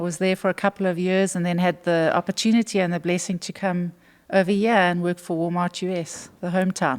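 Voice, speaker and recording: Recorded very cleanly against a silent background, with a dry, close sound and no echo, a woman with a South African accent talks at a fairly quick pace in a fairly low, monotone voice. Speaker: retail executive. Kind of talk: interview.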